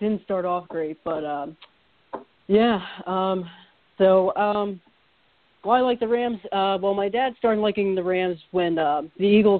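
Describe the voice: This voice has an American accent and moves at a fairly slow pace. Its pitch variation is ordinary. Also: man, high pitch for a man.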